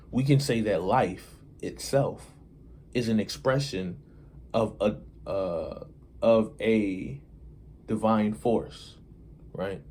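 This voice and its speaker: A man speaks at a very slow pace and medium pitch. His intonation is lively, broken by long, frequent pauses. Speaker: hip-hop commentator and video creator. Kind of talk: casual monologue to camera. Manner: slow, deliberate; hesitant, filler-heavy.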